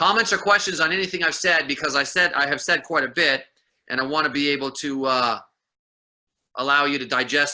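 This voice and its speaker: A bright, sharp tone at a fairly quick pace, with big swings in loudness and ordinary pitch variation. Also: man. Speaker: sales trainer. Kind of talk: training seminar. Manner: fast.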